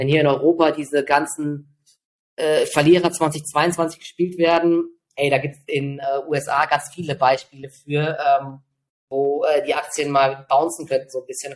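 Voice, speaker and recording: A man's fairly high voice, monotone and flat in intonation, with big swings in loudness. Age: 40s. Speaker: trader. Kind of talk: interview.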